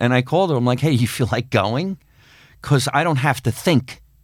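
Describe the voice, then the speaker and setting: On a very clean recording with a silent background, a man with an American accent uses an unremarkable speaking voice at medium pitch with ordinary pitch variation. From New Jersey. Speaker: comedian and actor. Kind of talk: casual chat. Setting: studio.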